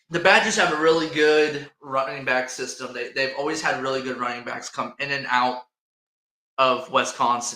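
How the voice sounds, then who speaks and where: A man with an Indiana accent talks at a moderate pace. His voice sits at a medium pitch with ordinary pitch variation and a bright, sharp tone. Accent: Hoosier accent, mocked in upstate New York. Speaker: sports podcast host. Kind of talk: casual chat. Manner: animated.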